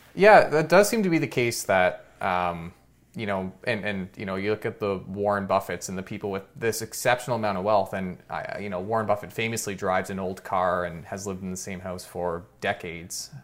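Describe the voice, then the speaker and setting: Here is a man with a plain, everyday voice at a fairly low pitch. He talks at a fairly quick pace with ordinary pitch variation and hardly any pauses. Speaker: finance YouTuber podcast host. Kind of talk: casual interview.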